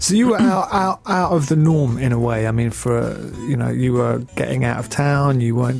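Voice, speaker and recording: A man speaks at a moderate pace in a medium-pitched voice. Noticeable background noise runs underneath. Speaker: radio DJ and presenter. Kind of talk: radio interview host. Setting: studio.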